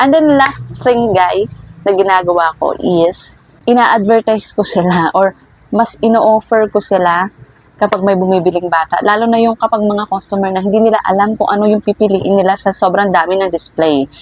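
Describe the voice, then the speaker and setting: A woman talks at a medium pitch and moderate pace with ordinary pitch variation and very even loudness, recorded dry and close with no echo but with noticeable background noise. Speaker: vlogger and small toy shop owner. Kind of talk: tutorial. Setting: indoors at home. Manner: speaking louder than usual.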